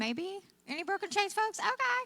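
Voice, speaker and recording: An American-accented woman projects her raised voice at a fairly quick pace. Her pitch swings very widely against noticeable background noise. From Oklahoma, mostly southern. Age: old. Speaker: guest speaker. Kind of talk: testimony. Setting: church.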